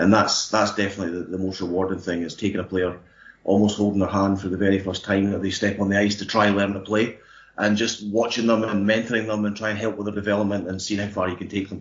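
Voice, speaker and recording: In a Scottish accent, a man with a fairly low voice talks at a very fast pace in a monotone, flat intonation. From Scotland, Kirkcaldy in Fife. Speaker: ice hockey coach. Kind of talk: panel discussion.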